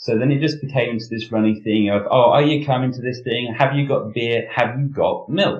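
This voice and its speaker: His pace is moderate. The man speaking has a British accent. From Britain. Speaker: security professional. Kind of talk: interview. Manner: hesitant, many fillers.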